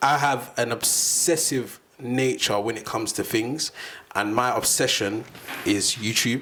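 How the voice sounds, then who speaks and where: Noticeable background noise sits behind a man speaking at a fairly slow pace in a medium pitch. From South London. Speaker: podcast host and filmmaker. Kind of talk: casual chat. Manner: animated.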